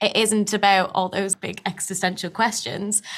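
A woman with an unremarkable speaking voice talks at medium pitch and a moderate pace. The recording is very clean, the background silent. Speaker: actress. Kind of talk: interview.

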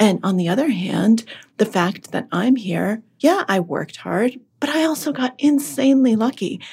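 Somewhat breathy, a woman with a General American accent talks at a moderate pace, her pitch swinging very widely. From Massachusetts (Boston suburbs), born in Russia. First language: Russian. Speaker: author and podcaster. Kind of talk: casual interview chat.

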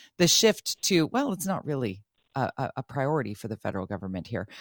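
A woman with a Canadian accent talks at a fairly quick pace with vocal fry and very wide pitch swings, in a very clean recording with a silent background. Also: dry, close sound with no echo. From Vancouver, Canada. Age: 50s. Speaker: radio talk show host. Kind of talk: radio interview.

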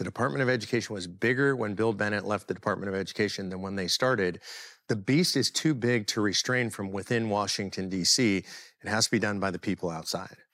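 A very fast man's voice with an American accent, fairly low in pitch with ordinary pitch variation, on a very clean recording with a silent background. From US West Coast (Los Angeles). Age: 60s. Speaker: political activist. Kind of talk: interview.

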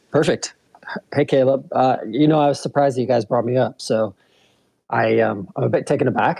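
A man speaks at a fairly quick pace with a medium pitch, ordinary pitch variation, and very even loudness. His tone is dark and mellow, with vocal fry. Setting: phone call.

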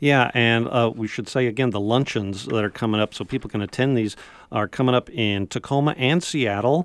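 Here is a man with a normal speaking voice at a medium pitch. He talks at a fairly quick pace with ordinary pitch variation. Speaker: radio host. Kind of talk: radio interview. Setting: studio.

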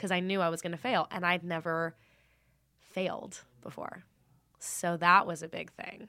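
With a bright, sharp tone and fairly low pitch, a woman speaks at a moderate pace in a monotone, flat way, leaving long, frequent pauses, in a very clean recording with a silent background. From Los Angeles, San Fernando Valley. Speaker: actor. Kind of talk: casual chat. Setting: studio.

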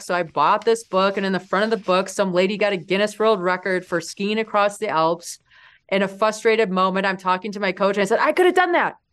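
A plain, everyday voice moves at a fairly quick pace with fairly even intonation against a quiet background. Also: woman. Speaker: mountaineer and entrepreneur. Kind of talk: interview storytelling.

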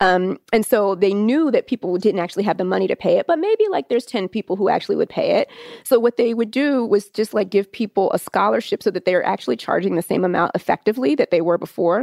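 Talking very fast with hardly any pauses, a woman uses lively intonation in a dry, close sound with no echo. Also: medium pitch for a woman. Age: 30s. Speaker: state education official. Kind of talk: interview.

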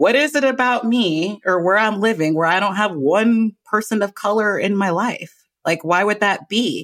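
A woman speaks in a plain, everyday voice at a medium pitch, with lively intonation and a moderate pace. Her loudness is very even, and the recording is very clean with a silent background. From US West Coast (Los Angeles). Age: 30s. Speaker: mindfulness teacher. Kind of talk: casual interview. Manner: laughs often.

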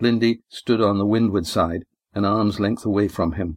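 Fairly low in pitch with fairly even intonation, the man has an ordinary speaking voice. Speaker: audiobook narrator and author. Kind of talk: dramatic narration, audiobook fiction reading. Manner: steady, measured, with character voices.

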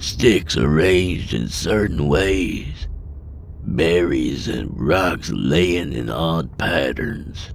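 Putting on a character voice, a man speaks very slowly at a very deep, low pitch over clear background noise. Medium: audio drama. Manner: folksy, earnest, says man.

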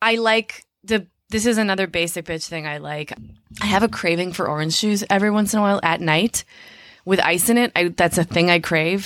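In an ordinary speaking voice with an American accent, a woman talks at a fairly quick pace and medium pitch with ordinary pitch variation. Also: very clean recording, silent background. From Minneapolis, Minnesota, US Midwest. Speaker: comedian and actor. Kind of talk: casual chat.

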